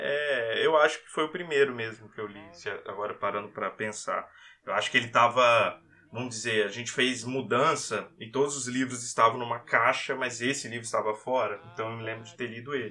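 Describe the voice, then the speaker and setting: A man with a plain, everyday voice talks at a fairly quick pace and medium pitch. His intonation is fairly even, though his loudness swings widely. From Brazil, Vitória, Espírito Santo. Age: 30s. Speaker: podcast co-host. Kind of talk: casual chat.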